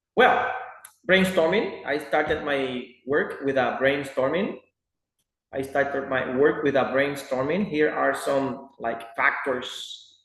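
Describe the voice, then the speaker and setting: A man talks at a very slow pace in a fairly high pitch. His pitch varies in an ordinary way, with audible room echo around him. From Dominican Republic. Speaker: student. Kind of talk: class presentation.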